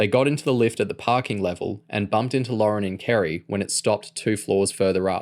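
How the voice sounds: What comes through is a natural reading voice.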